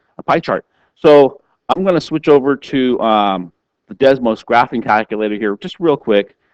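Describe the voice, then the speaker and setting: A man with an unremarkable speaking voice and lively intonation speaks at a moderate pace, with a dry, close sound and no echo. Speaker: math teacher. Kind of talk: tutorial.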